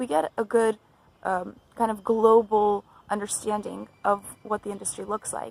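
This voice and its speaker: A woman with a Californian accent talks at a moderate pace while music plays in the background. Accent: General American, California. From US West Coast, Los Angeles (from age five). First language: Russian. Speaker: graduate student in translation and localization. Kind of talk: personal introduction video. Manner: casual, with filler words.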